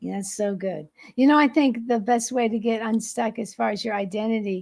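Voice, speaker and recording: A woman's fairly high, somewhat breathy voice at a fairly quick pace, in a very clean recording with a silent background. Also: ordinary pitch variation. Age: 60s. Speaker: podcast host. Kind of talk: casual chat.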